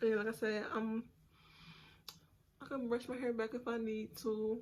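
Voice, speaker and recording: Over noticeable background noise, a woman with a fairly high pitch talks at a moderate pace in a monotone, flat intonation. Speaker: beauty vlogger. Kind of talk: hair tutorial. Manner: casual, chatty.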